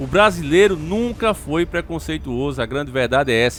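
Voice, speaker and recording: Speaking with a northeastern Brazilian accent, a man has an animated tone and lively intonation. Vocal fry runs through his voice. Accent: drawling northeastern Brazilian. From Northeast Brazil. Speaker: YouTube political commentator. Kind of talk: political commentary monologue.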